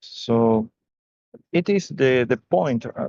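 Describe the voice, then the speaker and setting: With a non-native accent, a man talks at a very slow pace at medium pitch, his ordinary pitch variation captured in a dry, close sound with no echo. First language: not English. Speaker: community member. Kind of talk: open mic comment. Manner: halting.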